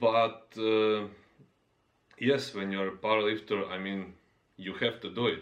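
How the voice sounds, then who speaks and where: The fairly low-pitched man speaks at a moderate pace with a non-native accent and fairly even intonation. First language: not English. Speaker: fitness YouTuber, powerlifter. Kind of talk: casual monologue vlog. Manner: halting, many fillers.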